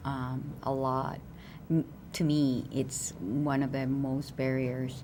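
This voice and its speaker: A woman's very deep, low voice at a very slow pace, with audible room echo. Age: 40s. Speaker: diplomat. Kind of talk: panel discussion. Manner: halting.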